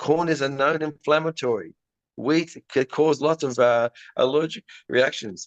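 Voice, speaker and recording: A man with an Australian accent speaks at a fairly high pitch with ordinary pitch variation. The sound is dry and close with no echo, over a quiet background. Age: 60s. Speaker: pet dental care business founder. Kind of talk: podcast interview.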